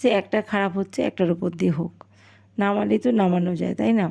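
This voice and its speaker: This woman's voice has a dark, mellow tone. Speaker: vlogger. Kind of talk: cooking vlog voiceover. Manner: casual chatty.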